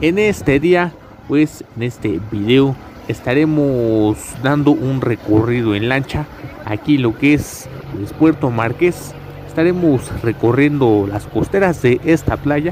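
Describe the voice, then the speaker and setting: Speaking at a very slow pace, a man is heard in a dry sound with no echo and light background noise. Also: lively intonation. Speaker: travel vlogger. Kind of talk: casual vlog chat. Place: boat. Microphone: phone near.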